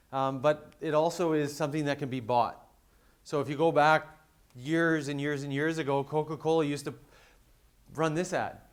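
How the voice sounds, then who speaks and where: A man at a fairly high pitch and moderate pace, with monotone, flat intonation and long, frequent pauses. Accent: western Canadian. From western Canada. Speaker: conference speaker, reputation management business. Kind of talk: conference presentation. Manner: frequent fillers and repetitions.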